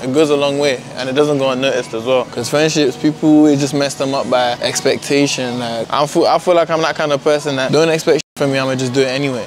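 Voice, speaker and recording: Over light background noise, a man speaks very fast in a monotone, flat intonation, the sound dry with no echo. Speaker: vlogger. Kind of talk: casual vlog chat. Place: shop. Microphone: phone near.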